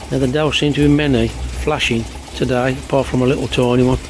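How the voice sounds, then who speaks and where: A man at a moderate pace, noticeable background noise behind him. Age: 60s. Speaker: koi pond hobbyist vlogger. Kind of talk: casual video diary. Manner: informal, conversational.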